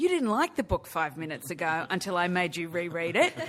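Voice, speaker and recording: The pitch swings very widely. The tone is bright and sharp. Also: woman. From Australia. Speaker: film producer. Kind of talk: press conference.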